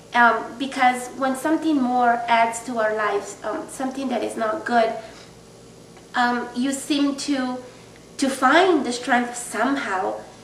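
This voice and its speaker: A woman speaks at a high pitch and a fairly slow pace. Her intonation stays fairly even, with noticeable background noise behind her. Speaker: person living with multiple sclerosis. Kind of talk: casual video diary to camera.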